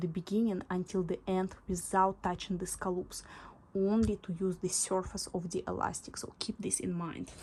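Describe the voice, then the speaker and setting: A woman speaks with a non-native accent over music in the background. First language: not English. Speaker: sewing instructor. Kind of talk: tutorial. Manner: halting, with fillers.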